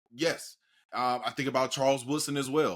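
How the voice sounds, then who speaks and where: This man has a normal speaking voice at a medium pitch, with ordinary pitch variation. He talks at a moderate pace in a very clean recording with a silent background. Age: 30s. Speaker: podcast host. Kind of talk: podcast interview.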